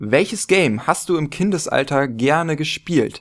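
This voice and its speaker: Speech moves at a moderate pace against a quiet background. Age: 20s. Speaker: gaming YouTuber; gaming youtuber. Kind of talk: casual vlog monologue. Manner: hesitant with many fillers. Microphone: studio mic.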